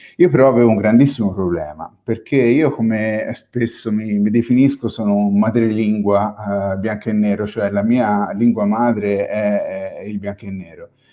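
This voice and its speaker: Fairly low-pitched and fairly even in intonation, a man speaks at a moderate pace with hardly any pauses. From Tuscany, Italy. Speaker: photographer. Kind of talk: panel discussion. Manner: halting, many fillers.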